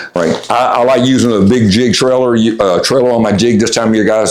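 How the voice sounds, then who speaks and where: Amid noticeable background noise and audible room echo, a man speaks at a fairly quick pace with a medium pitch. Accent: Tennessee. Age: 60s. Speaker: fishing guide. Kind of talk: tutorial. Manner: casual, hesitant with many fillers.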